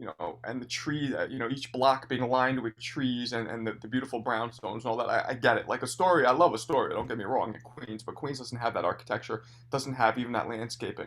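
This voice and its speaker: In a New York accent, a man with a medium pitch talks at a very fast pace. His intonation stays fairly even, and he barely pauses. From New York City, Hell's Kitchen. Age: 40s. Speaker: comedian and club owner. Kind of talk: casual chat.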